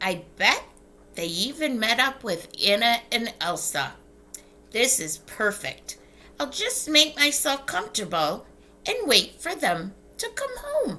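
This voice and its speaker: In a put-on character voice, a female-sounding speaker talks at a high pitch and a fairly slow pace. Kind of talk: bedtime story. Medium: read story. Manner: bubbly, chatty.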